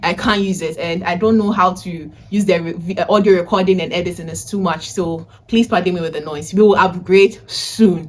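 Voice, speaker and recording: Loud and animated, a woman talks at a fairly quick pace in a medium pitch with hardly any pauses. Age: 20s. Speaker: vlogger and data analysis tutor. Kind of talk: casual vlog talk.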